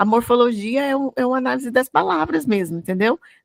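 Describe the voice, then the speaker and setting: A woman with a Goiás accent talks at a fairly quick pace in a high voice with lively intonation, recorded very cleanly against a silent background with a dry, close sound and no echo. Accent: Goiás Brazilian Portuguese (caipira r). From Brazil, Goiás. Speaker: English teacher. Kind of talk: bilingual Bible study lesson. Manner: conversational, with frequent fillers and repetitions.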